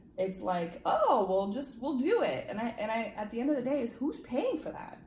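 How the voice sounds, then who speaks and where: A woman speaks with a high pitch and lively intonation at a moderate pace. Noticeable background noise runs underneath. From Romania, moved to US at eight. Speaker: legal immigrant interviewee. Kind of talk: casual interview.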